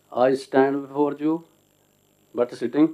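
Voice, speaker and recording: In a Punjabi accent, a man speaks with a dark, mellow tone. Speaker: translator and author. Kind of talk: seminar talk. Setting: seated at seminar panel. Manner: halting.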